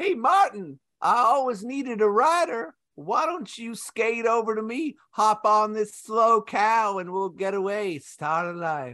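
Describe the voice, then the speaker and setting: Over a quiet background, a put-on character voice speaks at a fairly high pitch and a fairly slow pace. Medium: comedy sketch.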